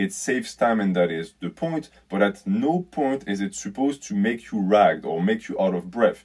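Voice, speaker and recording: Medium-pitched male voice with very wide pitch swings. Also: moderate pace, quiet background. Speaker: fitness YouTuber. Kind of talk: video commentary. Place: home room. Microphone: phone near.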